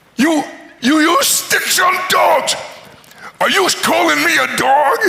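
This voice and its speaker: Put-on character voice from a man, extremely high in pitch, at a fairly slow pace. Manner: indignant, taking offense.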